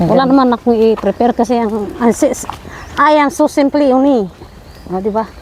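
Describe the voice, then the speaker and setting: A woman speaks loudly at a moderate pace, high in pitch with ordinary pitch variation. Background noise is noticeable. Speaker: vlogger. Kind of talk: casual chat. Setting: outdoors.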